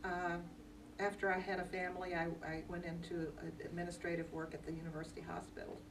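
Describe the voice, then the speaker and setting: A woman speaks at medium pitch. Audible room echo and noticeable background noise are present. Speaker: retired teacher, volunteer tutor. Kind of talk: personal introduction.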